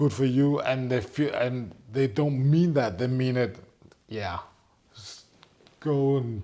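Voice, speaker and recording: A man with a dark, mellow tone speaks at a fairly slow pace. He takes long, frequent pauses, and his loudness swings widely. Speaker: entrepreneur. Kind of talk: casual chat.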